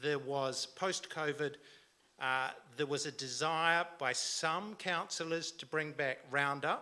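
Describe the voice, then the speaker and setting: In a New Zealand accent, a man speaks at a very slow pace with a fairly high pitch, a bright, sharp tone, and fairly even intonation. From New Zealand, Canterbury (born Timaru, raised Christchurch). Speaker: local council candidate. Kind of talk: campaign speech. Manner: hesitant, many fillers.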